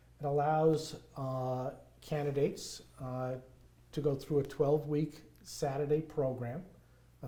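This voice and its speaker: A man with a strong New York accent speaks at a fairly high pitch in a dark, mellow tone. His voice is somewhat breathy, with monotone, flat intonation. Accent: thick New York. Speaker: nonprofit construction volunteer. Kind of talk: interview conversation.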